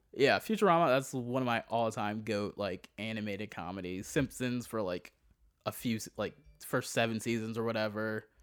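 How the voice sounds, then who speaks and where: Someone with an American accent speaks at a moderate pace while music plays in the background. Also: man, medium pitch for a man, ordinary pitch variation. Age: 30s. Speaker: comedian. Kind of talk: casual chat.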